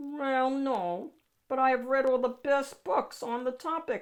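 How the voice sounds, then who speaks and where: A woman puts on a high-pitched character voice and speaks fairly slowly. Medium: read story. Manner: polite, meek.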